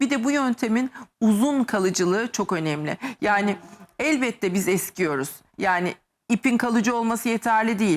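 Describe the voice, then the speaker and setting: A woman with a fairly high pitch speaks in an animated tone with lively intonation, at a moderate pace and very even loudness. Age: 50s. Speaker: medical aesthetics doctor. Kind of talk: TV talk show interview.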